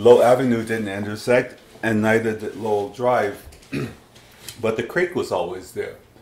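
A man talks with ordinary pitch variation and long, frequent pauses. Noticeable background noise can be heard. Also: medium pitch for a man, moderate pace. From Huntsville, Alabama. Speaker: oral history interviewee. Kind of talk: interview answer. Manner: hesitant, conversational.

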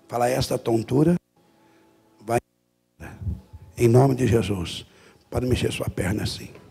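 Male speech with ordinary pitch variation at a fairly slow pace, broken by long, frequent pauses, with faint music in the background. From Brazil. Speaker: Pentecostal missionary and preacher. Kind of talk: healing prayer commanding a sick woman. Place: church. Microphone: handheld.

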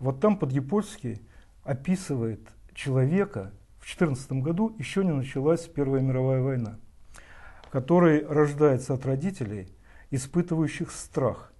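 Against a quiet background, a man with a fairly high pitch and a dark, mellow tone speaks in a somewhat breathy voice with lively intonation and long, frequent pauses. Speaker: TV host. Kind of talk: interview. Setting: studio.

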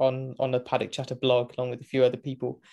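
Over a quiet background, a man with a British accent talks at a medium pitch in a dark, mellow tone. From Great Britain. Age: 20s. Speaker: motorsport commentator; podcast guest, motorsport commentator. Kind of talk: casual interview chat. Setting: remote call from home. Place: home room.

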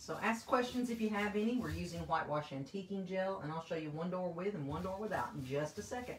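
Lively in intonation, a woman speaks very fast with hardly any pauses. Audible room echo and light background noise surround her voice. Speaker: paint company presenter demonstrating products. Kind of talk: live-stream tutorial. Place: home room.

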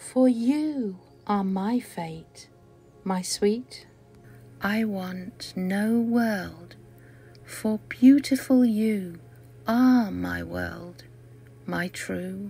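Music plays in the background as a woman talks at a very slow pace, leaving long, frequent pauses. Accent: British. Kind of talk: poetry reading.

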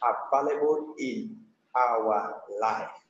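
A man with a Nigerian accent. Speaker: evangelist. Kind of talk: sermon, exhortation. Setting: remote over the internet, weak connection.

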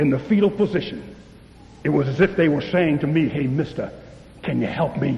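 Lively in intonation, a man talks at a moderate pace. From US East Coast. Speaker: pastor. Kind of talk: sermon. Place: hall.

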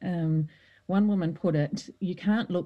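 A woman with an Australian accent, a fairly low pitch and ordinary pitch variation. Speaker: former politician and author. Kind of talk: interview.

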